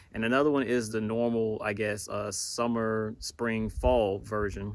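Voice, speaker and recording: A quiet, fairly low-pitched male voice with fairly even intonation, in a very clean recording with a silent background. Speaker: sneaker reviewer on video channel. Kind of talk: product review vlog. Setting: outdoors at campsite. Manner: quiet indoor voice; casual, hesitant.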